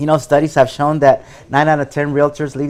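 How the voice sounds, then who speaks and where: A fairly high-pitched man with a Spanish accent at a fairly quick pace. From Mexico (Veracruz), raised in Madera, California from age ten. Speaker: real estate agent, former school principal. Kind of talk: interview.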